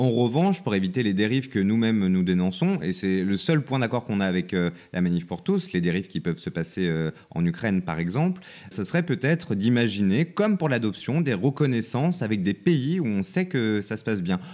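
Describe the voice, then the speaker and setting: A man talks at a fairly quick pace, his pitch in the medium range. His pitch swings very widely, and the recording is very clean with a silent background. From countryside near Lyon, France. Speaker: journalist and TV producer. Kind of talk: interview conversation.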